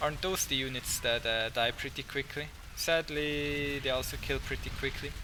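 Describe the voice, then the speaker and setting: Against noticeable background noise, a man speaks at a fairly high pitch and moderate pace with fairly even intonation. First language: not English. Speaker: gaming commentator. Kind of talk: game commentary.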